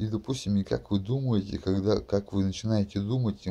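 Dark, mellow tone at a fairly quick pace. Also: man. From Russia, Kurgan region (Shadrinsk); Russia. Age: 30s. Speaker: video blogger. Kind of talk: monologue to camera; casual vlog monologue. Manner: rambling, full of fillers. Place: home room. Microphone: webcam.

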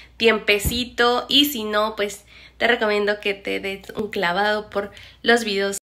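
A woman with a Mexican accent at medium pitch and a fairly slow pace. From Mexico. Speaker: vlogger, former nurse; vlogger. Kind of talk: casual vlog talk to camera. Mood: playful, cheerful.

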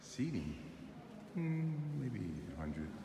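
A man's voice over loud background noise. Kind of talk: casual travel narration. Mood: admiring, calm. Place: church. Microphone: phone near.

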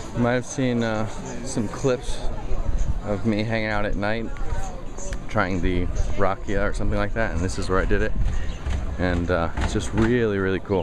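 Over clear background music, a man with a fairly low voice talks at a moderate pace with ordinary pitch variation and long, frequent pauses, the sound dry with no echo. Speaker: travel vlogger. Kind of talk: casual travel vlog commentary. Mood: relaxed, enthusiastic. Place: street. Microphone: phone near.

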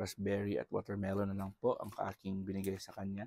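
Dark and mellow in tone, a man's fairly low voice moves at a moderate pace with a dry sound and no echo. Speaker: pet vlogger. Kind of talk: casual vlog commentary. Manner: soft-spoken, quieter than usual; naturally loud voice. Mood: warm, affectionate, grateful. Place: home room. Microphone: phone near.

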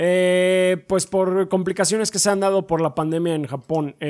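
A man talks with a Mexican accent. The background is quiet. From Mexico. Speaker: gaming podcast co-host. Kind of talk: casual chat. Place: home room. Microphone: studio mic.

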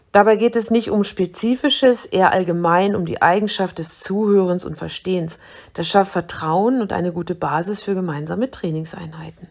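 A woman talks at a moderate pace and medium pitch in an ordinary speaking voice with ordinary pitch variation. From Germany, Braunschweig. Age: 50s. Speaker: personal trainer.

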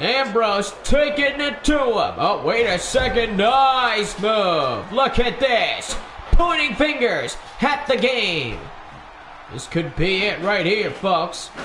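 A man with an extremely high pitch speaks at a very slow pace with lively intonation. Audible room echo and light background noise are present. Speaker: gaming and wrestling channel commentator. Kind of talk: wrestling match commentary, play-by-play over highlights. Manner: gushing hype with breathless pauses. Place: home room. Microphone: headset.

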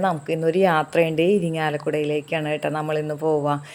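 A woman speaks with a very deep, low voice. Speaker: village life vlogger. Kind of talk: vlog narration.

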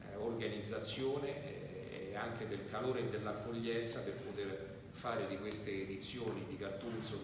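Fairly low-pitched male speech in a monotone, flat intonation, with strong room echo and noticeable background noise. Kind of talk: press conference statement. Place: hall.

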